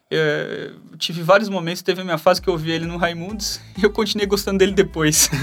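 A man's high-pitched voice, very fast and in a monotone, flat intonation. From Brazil, Bauru (São Paulo state interior). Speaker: UX designer. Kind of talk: casual chat about faith.

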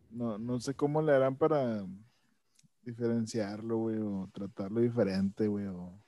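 On a very clean recording with a silent background, a man with a dark, mellow tone and medium pitch speaks very slowly, with long, frequent pauses and ordinary pitch variation. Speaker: podcast co-host. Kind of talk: casual chat.

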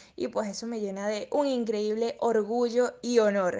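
With a fairly high pitch, a woman talks at a fairly slow pace in a normal speaking voice. The background is quiet. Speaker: radio presenter and model. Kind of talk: interview.

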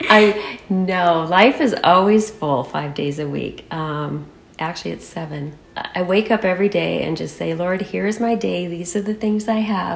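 A woman's fairly slow, barely paused delivery with an American accent, fairly low pitch, ordinary pitch variation and noticeable background noise. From Michigan, US Midwest. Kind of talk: interview.

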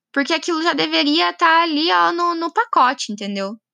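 Her voice raised and projected, a woman speaks in a bright, sharp tone with very wide pitch swings. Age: 20s. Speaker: podcaster. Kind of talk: personal monologue. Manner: casual, hesitant with fillers.

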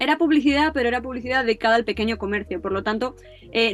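With music in the background, a woman speaks very fast in a fairly high voice with ordinary pitch variation. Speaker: advertising student. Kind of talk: interview.

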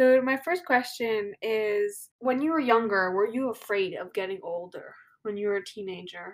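With a plain, everyday voice, a woman speaks at a moderate pace with lively intonation. Her pitch is fairly high, and the recording is very clean with a silent background. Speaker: podcast host. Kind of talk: interview.

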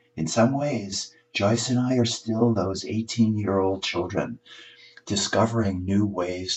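A man's somewhat breathy, fairly low voice at a very slow pace. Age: 70s. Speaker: columnist and author. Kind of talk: reading aloud.

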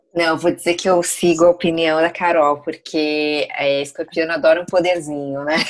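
A woman with a fairly low pitch speaks at a moderate pace with hardly any pauses. Her intonation is monotone and flat. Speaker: astrology guest. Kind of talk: casual chat.

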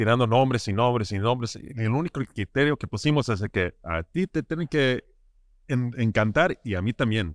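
A man speaks at a fairly slow pace with lively intonation and a slight American accent. The recording is very clean, with a silent background and a dry, close sound with no echo. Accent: slight US-tinged accent in Spanish. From Southern California, with weekends in Ensenada. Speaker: craft brewer. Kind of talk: casual interview. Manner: halting, many repetitions and fillers.

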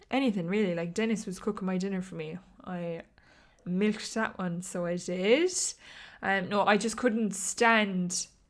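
Speaking in an Irish accent, a woman uses a medium pitch, a fairly slow pace and fairly even intonation. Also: long, frequent pauses. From Ireland. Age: 20s. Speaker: podcast host. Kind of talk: casual solo chat.

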